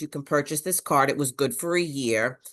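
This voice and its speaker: A woman talks at a very deep, low pitch. The background is quiet. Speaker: parent leader. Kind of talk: webinar participant comment.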